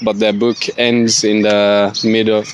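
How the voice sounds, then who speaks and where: A man with a non-native accent speaks at a medium pitch and fairly slow pace. His intonation is monotone and flat, with noticeable background noise behind him. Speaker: student. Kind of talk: spoken book report. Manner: halting, many fillers.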